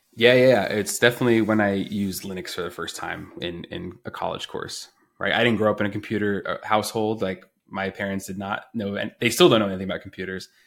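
Ordinary pitch variation marks this man's American accent. He speaks at a very fast pace. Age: 30s. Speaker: software engineer. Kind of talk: interview. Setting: remote call.

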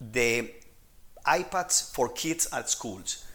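A man speaks with a Spanish accent and a bright, sharp tone. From Colombia. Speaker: techno-anthropologist. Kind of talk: interview. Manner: halting.

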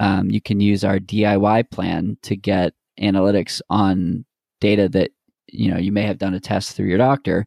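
With an ordinary speaking voice, a man talks at a moderate pace and fairly even intonation on a very clean recording with a silent background. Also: dry, close sound with no echo. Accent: American. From Boston, Massachusetts. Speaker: health tech sales manager and runner. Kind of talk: podcast interview.

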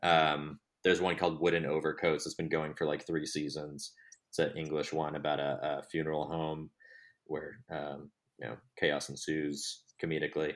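The very clean recording, with a silent background, captures a man with an American accent speaking at a moderate pace. His very deep, low voice stays monotone and flat. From Texas. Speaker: TV production worker and audio drama creator. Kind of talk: interview.

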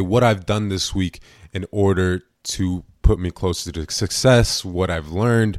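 A man with a plain, everyday voice, fairly low in pitch with ordinary pitch variation, is heard in a very clean recording against a silent background. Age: young. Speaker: podcast host. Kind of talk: solo podcast monologue.

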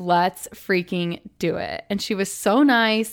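The recording is very clean with a silent background, and a woman speaks at a medium pitch in an animated tone with ordinary pitch variation. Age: 30s. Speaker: podcast host. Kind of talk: casual monologue.

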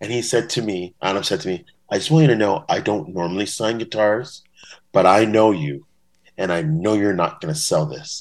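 A man with a Canadian accent and a fairly low pitch speaks at a moderate pace with lively intonation over a quiet background. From Ontario, Canada. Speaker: bass-playing superfan. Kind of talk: casual interview. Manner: animated.

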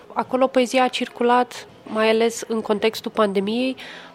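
Music plays in the background as a woman speaks at a fairly slow pace. Her fairly high voice stays flat and monotone. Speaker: poet. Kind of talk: casual chat. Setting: hotel lobby.

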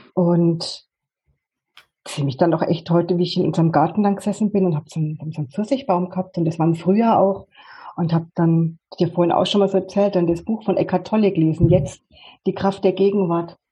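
A woman talks at a fairly quick pace in a normal speaking voice. Her pitch is fairly low and her intonation fairly even. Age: 50s. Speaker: life coach. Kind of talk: interview. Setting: video call.

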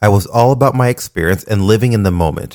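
A fairly quick pace with ordinary pitch variation, on a very clean recording over a silent background. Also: man. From Panama, raised in Florida and Washington state from age six. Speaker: podcast host, nurse practitioner. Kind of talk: personal testimony, scripted monologue.

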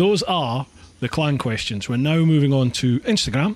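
A man speaks with a Scottish accent in a somewhat breathy, fairly high voice. His pace is fairly slow, and his pitch swings very widely. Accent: Scottish, rolled R's. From northeast Scotland. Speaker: podcast host. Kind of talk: casual interview chat. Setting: home office studio.

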